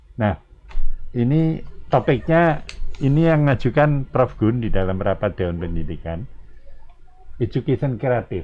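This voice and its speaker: Long, frequent pauses break up a man's speech as his pitch swings very widely. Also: medium pitch for a man, fairly slow pace. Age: 80s+. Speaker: community leader and discussion moderator. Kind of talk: panel discussion.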